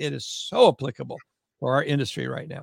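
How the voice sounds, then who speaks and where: This man talks at a very fast pace in a fairly high pitch. His voice carries vocal fry. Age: 70s. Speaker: mortgage industry consultant. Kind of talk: casual interview chat.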